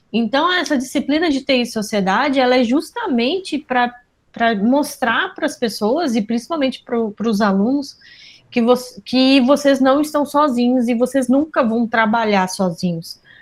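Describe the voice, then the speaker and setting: A woman with a southern Brazilian accent speaks at a fairly slow pace in a high pitch, with ordinary pitch variation and very even loudness. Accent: gaúcho. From southern Brazil, Pelotas, Rio Grande do Sul. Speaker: university professor. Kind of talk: interview.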